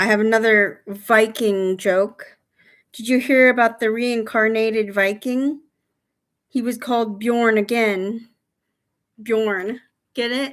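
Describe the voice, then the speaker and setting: A woman with a fairly high voice mumbles at a very slow pace, leaving long, frequent pauses, in a very clean recording with a silent background. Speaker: livestreamer. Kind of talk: casual live stream chat telling jokes. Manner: mumbling; hesitant, many fillers.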